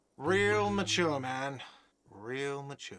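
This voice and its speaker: A man shouts in a put-on, whiny character voice. His pitch sits at a medium level. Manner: whiny, shouting.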